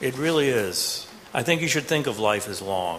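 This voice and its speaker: A man with an American accent, medium in pitch, at a moderate pace with very wide pitch swings, amid noticeable background noise and audible room echo. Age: 50s. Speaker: professor. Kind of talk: panel discussion.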